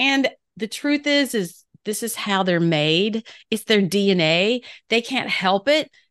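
In a normal speaking voice, a woman talks at a fairly high pitch and a fairly slow pace, with a dry, close sound with no echo and a quiet background. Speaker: podcast host. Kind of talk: interview.

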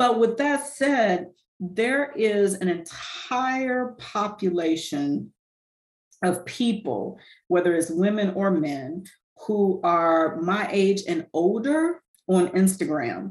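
Her intonation lively, a woman speaks at a very slow pace. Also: medium pitch for a woman. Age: 50s. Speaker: fitness and nutrition coach, retired educator. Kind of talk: casual interview chat.

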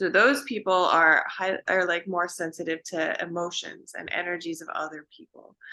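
Talking at a moderate pace with hardly any pauses, a woman with a western Canadian accent has a fairly low pitch, a bright, sharp tone, ordinary pitch variation and big swings in loudness. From Vancouver, Canada. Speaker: naturopathic doctor. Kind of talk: casual interview chat.

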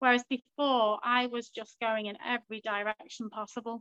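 A woman speaks at a moderate pace with a bright, sharp tone and a fairly high pitch. Her intonation is monotone and flat, and the sound is dry and close with no echo. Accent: Liverpool. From Liverpool, England. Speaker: stay-at-home mother and coaching client. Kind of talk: interview.

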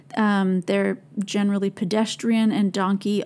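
With an American accent, a woman talks at a moderate pace in a dark, mellow tone. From Minnesota, US (St. Paul). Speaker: podcast host. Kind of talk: personal reflective monologue.

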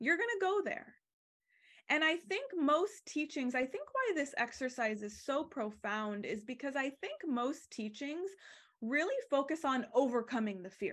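Against a quiet background, a woman with an American accent speaks high and animated, her pitch swinging very widely. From Arizona. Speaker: embodiment coach and podcast host. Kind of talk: guided teaching.

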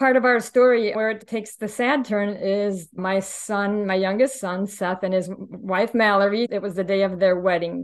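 A woman with a normal speaking voice and an American accent talks at a moderate pace and medium pitch, with fairly even intonation and hardly any pauses. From Indiana. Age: 50s. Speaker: widow sharing her story. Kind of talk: interview testimony.

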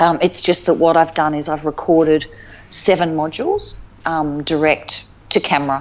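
A woman with an Australian accent speaks at a moderate pace in a very deep, low voice. Her intonation is monotone and flat, and background noise is noticeable. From Northern Territory, Australia (Alice Springs). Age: 50s. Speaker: life coach. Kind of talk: casual interview chat.

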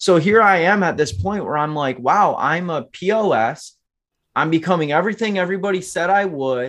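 A man with an American accent speaks at a moderate pace with high pitch and lively intonation against a quiet background. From Michigan. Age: 20s. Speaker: entrepreneur. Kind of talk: testimony.

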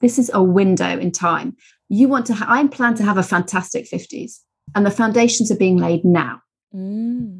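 Somewhat breathy, a woman with a British accent speaks at a medium pitch with ordinary pitch variation. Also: moderate pace. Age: 40s. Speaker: nutritional therapist. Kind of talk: casual interview.

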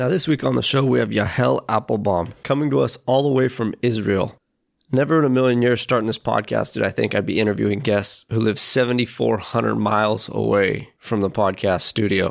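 A fairly low-pitched male voice with vocal fry and very even loudness. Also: lively intonation, moderate pace. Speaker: podcast host. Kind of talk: interview conversation. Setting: remote call.

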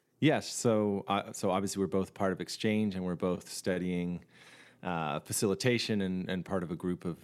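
A man with a Canadian accent speaks at a moderate pace. His very deep, low voice keeps a fairly even intonation. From Canada. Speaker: singer-songwriter and facilitator. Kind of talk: casual interview chat. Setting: remote call.

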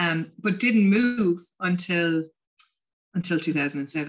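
Speaking with a Munster Irish accent, a woman uses a fairly low pitch. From Ireland, County Limerick. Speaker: tourism business founder and coach. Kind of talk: casual interview chat.

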